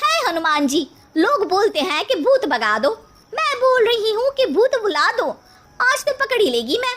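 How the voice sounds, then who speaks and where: At a moderate pace, a woman uses a cartoonish character voice pitched extremely high with very wide pitch swings. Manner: brash, slangy.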